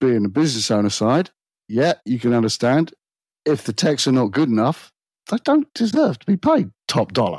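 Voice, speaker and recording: A man with a British accent speaks at a moderate pace. The sound is dry and close with no echo, in a very clean recording with a silent background. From Britain. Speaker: automotive technician. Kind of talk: casual chat.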